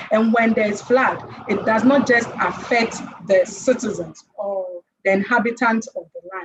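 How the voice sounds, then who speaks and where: Somewhat breathy and with a Ghanaian accent, the speaker keeps a moderate pace and ordinary pitch variation. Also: woman. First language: Twi. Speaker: conference panelist. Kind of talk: conference presentation.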